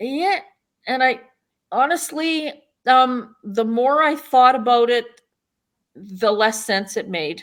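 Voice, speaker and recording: A woman with a western Canadian accent, fairly high-pitched, at a very slow pace. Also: very clean recording, silent background. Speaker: town mayor and political candidate. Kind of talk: interview. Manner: loud; casual, with frequent fillers.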